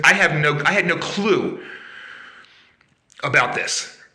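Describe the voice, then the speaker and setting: Audible room echo surrounds a man's bright, sharp voice with ordinary pitch variation. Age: 60s. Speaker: vlogger sharing health experience. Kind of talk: personal testimony. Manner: hesitant, many fillers.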